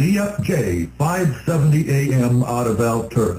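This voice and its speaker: A man's somewhat breathy voice at medium pitch, dark and mellow in tone. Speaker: radio show co-host. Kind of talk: radio talk show. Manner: stutters.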